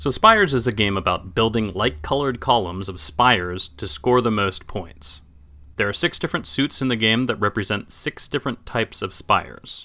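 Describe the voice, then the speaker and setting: A man speaks at a medium pitch and moderate pace with lively intonation. His tone is bright and sharp, and the recording is very clean with a silent background. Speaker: game designer. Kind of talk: board game rules explanation.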